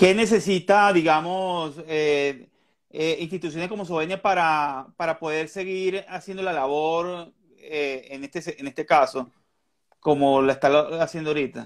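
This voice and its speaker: This man's voice sits at a fairly high pitch, and his intonation stays fairly even. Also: fairly slow pace. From Venezuela. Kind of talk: interview. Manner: halting.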